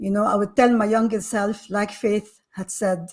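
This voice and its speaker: At a moderate pace, a woman speaks at a medium pitch with a somewhat breathy sound. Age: 60s. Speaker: panel guest. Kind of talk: panel discussion.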